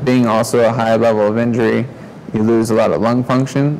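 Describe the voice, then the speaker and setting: A medium-pitched male voice amid noticeable background noise. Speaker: spinal cord injury survivor. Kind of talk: testimony. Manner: quiet, can't raise voice.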